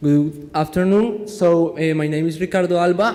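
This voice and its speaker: Against noticeable background noise, a man with a Spanish accent speaks fairly slowly at a high pitch. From Colombia. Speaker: engineering student presenting a project. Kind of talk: conference presentation. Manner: halting.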